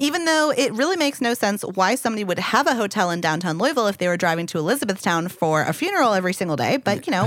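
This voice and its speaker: Amid noticeable background noise, a woman of medium pitch talks very fast with very wide pitch swings. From Louisville, Kentucky. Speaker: podcast co-host.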